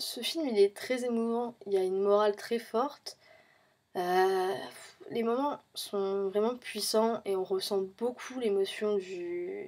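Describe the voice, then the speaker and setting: A woman at medium pitch talks very slowly, her pitch varying in an ordinary way. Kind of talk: film review talk to camera. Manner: hesitant, many fillers.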